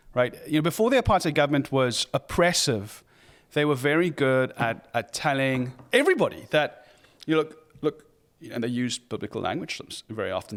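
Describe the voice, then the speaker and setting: Speaking with a South African accent, a man talks at a very fast pace. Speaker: pastor. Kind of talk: interview. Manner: halting, many fillers.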